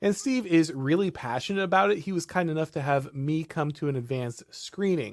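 A man's fairly high, plain, everyday voice at a moderate pace, with lively intonation, in a very clean recording over a silent background. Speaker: podcast host. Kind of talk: casual discussion. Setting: live stream.

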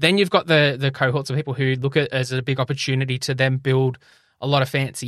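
Over a silent background in a very clean recording, a man with an Australian accent talks very fast at a medium pitch. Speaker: health tech podcaster and company director. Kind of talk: interview conversation.

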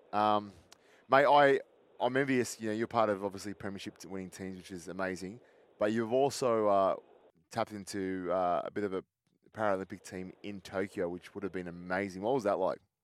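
A man speaks at a fairly quick pace with an Australian accent, his pitch fairly low. His intonation stays fairly even while his loudness swings widely. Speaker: radio host. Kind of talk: casual interview.

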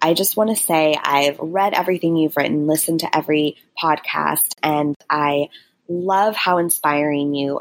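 A plain, everyday voice at a fairly slow pace. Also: woman. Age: 30s. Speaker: caller, digital marketer. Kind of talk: voicemail question.

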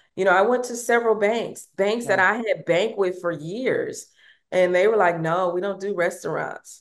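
Here, a woman talks in an ordinary speaking voice at a medium pitch. Her pitch variation is ordinary and her pace moderate. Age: 50s. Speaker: restaurant owner and reality TV personality. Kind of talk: interview.

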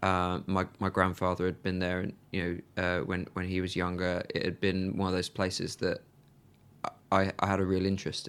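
A man's very deep, low voice at a fairly quick pace, monotone and flat in intonation, in a very clean recording with a silent background. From England, Birmingham. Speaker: journalist and author. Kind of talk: interview.

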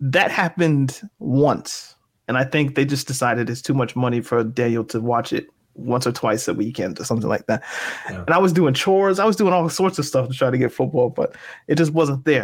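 Using a plain, everyday voice, a man speaks at a fairly quick pace with medium pitch and lively intonation. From Canada, Halifax. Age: 30s. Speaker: podcast host. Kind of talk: casual chat.

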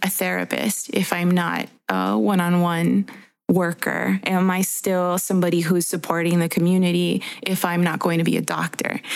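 With an American accent, a woman talks at a moderate pace in a fairly low pitch, a plain, everyday voice, her loudness very even. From Guatemalan American. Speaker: podcast co-host and therapist. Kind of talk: casual chat.

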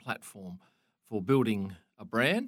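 A fairly low-pitched man with an Australian accent on a very clean recording with a silent background. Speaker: motorsport photographer. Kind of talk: interview.

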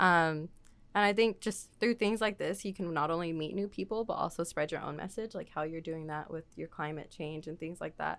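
A woman with an American accent and an ordinary speaking voice talks at a fairly quick pace in a fairly low pitch with ordinary pitch variation. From Texas, Waco. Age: 20s. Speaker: artist. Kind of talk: casual chat. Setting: studio.

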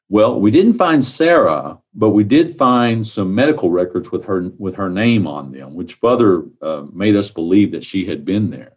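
A man with a Texan accent talks at a moderate pace in a fairly low pitch, with hardly any pauses. His pitch swings very widely and his loudness shifts a lot. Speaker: county sheriff. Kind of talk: interview.

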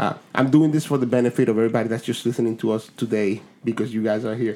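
Speaking at a very fast pace, a man has a Spanish accent. His pitch is medium and his intonation fairly even. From Dominican Republic, then South Bronx. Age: 40s. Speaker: podcast host. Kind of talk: casual chat.

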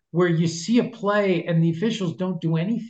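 This man speaks with a New York accent. His pitch is high. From Long Island, New York. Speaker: NFL rules analyst, former officiating executive. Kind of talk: interview. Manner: halting with repetitions.

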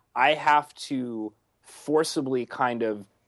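In a plain, everyday voice, a man speaks at a medium pitch with ordinary pitch variation over a quiet background. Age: 30s. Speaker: paintball video producer. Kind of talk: casual chat.

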